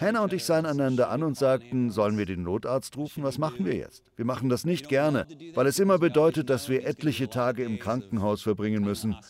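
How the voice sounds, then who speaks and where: A man speaks at a fairly quick pace and medium pitch, with hardly any pauses. His tone is animated and his intonation lively. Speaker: preacher. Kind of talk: sermon. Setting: church. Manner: animated, conversational, persuasive; warm, self-deprecating, humorous.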